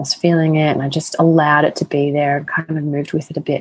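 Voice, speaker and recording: A woman with an Australian accent talks at a very fast pace in a very deep, low pitch. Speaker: sex and empowerment coach. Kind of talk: casual interview chat.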